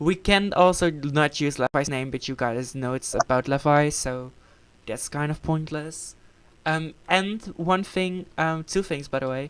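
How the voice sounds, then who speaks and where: In a Dutch accent, a woman with a very deep, low pitch speaks at a moderate pace. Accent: Dutch accent in English, described as bad. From Netherlands. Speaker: gaming channel member. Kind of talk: casual chat. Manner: halting, many fillers.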